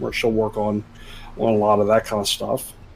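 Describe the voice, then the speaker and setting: A man's medium-pitched voice comes through with music in the background. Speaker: tabletop game player. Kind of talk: tabletop roleplaying game session.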